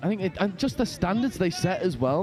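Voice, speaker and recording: A man with a northern English accent, ordinary pitch variation, and music in the background. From northern England. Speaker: sports commentator. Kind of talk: live commentary. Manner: animated.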